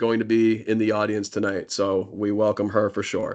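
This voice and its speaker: A man speaks in a monotone, flat intonation. The background is quiet. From Massachusetts (Marlborough). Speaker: school principal. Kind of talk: info session presentation. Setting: online video meeting. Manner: fast; filler-heavy.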